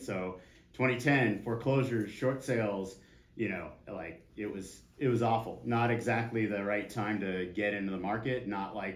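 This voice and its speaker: A fairly low-pitched man with an American accent, with audible room echo. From San Diego, California. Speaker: real estate agent teaching a class. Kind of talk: class lecture with audience interaction. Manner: casual, animated, curses freely.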